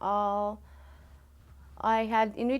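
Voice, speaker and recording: In a Canadian Arctic accent, a woman speaks at a fairly high pitch with flat, monotone intonation on a very clean recording with a silent background. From Nunavut, Canada (Pangnirtung). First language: Inuktitut. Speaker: student. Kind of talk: interview. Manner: halting.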